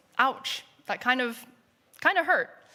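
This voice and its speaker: A woman with an American accent speaks at a moderate pace, her tone bright and sharp with ordinary pitch variation. The recording is very clean, with a silent background. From United States. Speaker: product designer. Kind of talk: conference talk. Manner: hesitant, many fillers.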